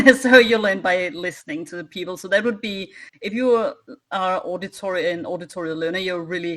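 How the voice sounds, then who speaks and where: A woman speaks with a Danish accent. Her pitch is medium. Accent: foreign, Danish. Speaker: wargamer and former teacher. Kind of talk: casual chat. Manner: halting.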